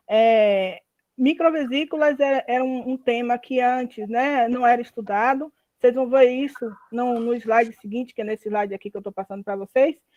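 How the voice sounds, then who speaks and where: Recorded dry and close with no echo, a woman speaks at a moderate pace with a high pitch. Her pitch varies in an ordinary way, while her loudness swings widely. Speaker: university lecturer. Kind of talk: lecture. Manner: halting.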